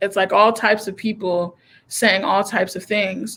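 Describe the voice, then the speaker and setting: Fairly even intonation carries this voice along at a moderate pace. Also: woman. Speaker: comedian. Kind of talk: casual chat. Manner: loud.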